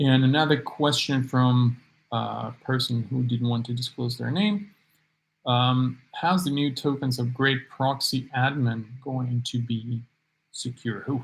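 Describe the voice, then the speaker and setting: A man mumbling very slowly at a medium pitch, somewhat breathy, with fairly even intonation. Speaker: startup founder. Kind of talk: live Q&A. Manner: halting.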